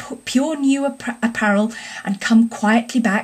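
An unforced reading voice shows ordinary pitch variation throughout.

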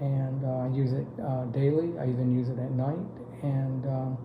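There is noticeable background noise as a man speaks at a fairly slow pace. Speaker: customer giving product testimonial. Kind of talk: customer testimonial to camera. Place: home room. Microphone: phone near.

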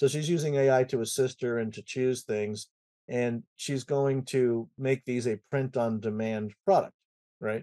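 Against a quiet background, a man speaks at a moderate pace with fairly even intonation and a dark, mellow tone. He leaves long, frequent pauses. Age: 60s. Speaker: IT consultancy president and conference founder; podcast guest. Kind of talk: casual interview chat. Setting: home music studio. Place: home room. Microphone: webcam.

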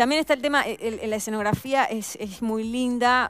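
A woman's fairly quick speech with a Uruguayan accent and ordinary pitch variation. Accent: Uruguayan Rioplatense Spanish. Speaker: actress. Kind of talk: casual interview chat.

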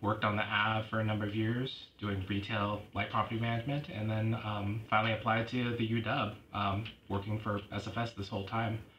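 With a Pacific Northwest accent, a man speaks at a moderate pace in a fairly low pitch, his intonation monotone and flat over noticeable background noise. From Washington State, Tacoma and Lacey-Olympia area. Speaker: university student finance advisor. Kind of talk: casual interview.

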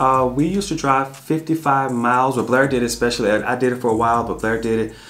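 With a Southern US accent, a man talks at a fairly quick pace using ordinary pitch variation. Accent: Southern American English. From US South. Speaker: family travel vlogger. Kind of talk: casual Q&A chat. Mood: calm, reflective. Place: home room.

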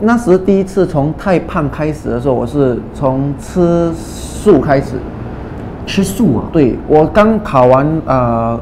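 Very slowly, a man speaks over noticeable background noise. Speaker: guest fitness chat partner. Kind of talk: casual chat. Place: studio. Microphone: lapel.

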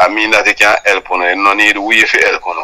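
Against a quiet background, a man talks at a moderate pace with a Jamaican accent. His tone is bright and sharp. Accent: Jamaican Patois. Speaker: vlogger playing an interview character. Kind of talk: phone interview answer. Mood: insistent, argumentative. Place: home room. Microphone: lapel.

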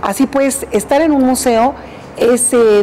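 A woman speaks with ordinary pitch variation. There is light background noise. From Mexico, Parral, Chihuahua. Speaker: museum director. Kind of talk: interview. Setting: museum director's workplace. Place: home room.

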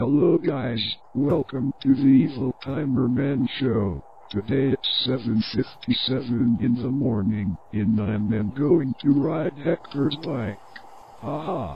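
A man in a put-on character voice, medium pitch and fairly slow pace, over clear background noise. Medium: machinima. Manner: gleeful, excitable.

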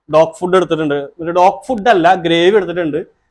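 This man's voice sits high in pitch. It has ordinary pitch variation. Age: 20s. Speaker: vlogger. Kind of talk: travel vlog.

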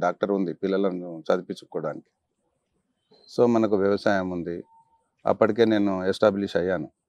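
Recorded against a quiet background, a man's voice comes through dry with no echo. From Telangana. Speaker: politician. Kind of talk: interview. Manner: soft-spoken; polite. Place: garden. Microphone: lapel.

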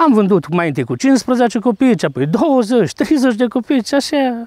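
A man speaks at a fairly slow pace in a Maramureș accent, his pitch extremely high and his intonation lively. The tone is dark and mellow, the sound dry with no echo, over a quiet background. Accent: Maramureș-type rural Romanian dialect. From Romanian community in Transcarpathia, Ukraine (Rakhiv area); Transcarpathia, Ukraine. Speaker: carpenter and folk fiddler, home museum keeper; interviewee. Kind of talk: interview.

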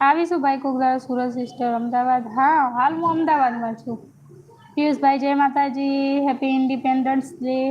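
Over noticeable background noise, a woman speaks at a high pitch with monotone, flat intonation. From north Gujarat, India (Radhanpur, Patan district). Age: young. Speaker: YouTuber live streamer. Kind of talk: casual live stream chat reading comments. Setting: live stream at home.

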